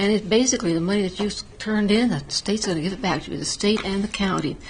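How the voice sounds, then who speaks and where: A woman talks over noticeable background noise. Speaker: town council member. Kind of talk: council meeting report. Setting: town council meeting.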